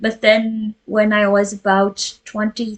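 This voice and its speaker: A woman speaks at medium pitch with a Flemish accent. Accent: Flemish Belgian. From Flemish Belgium. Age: 30s. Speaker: cross stitch vlogger. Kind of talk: casual chat. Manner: halting.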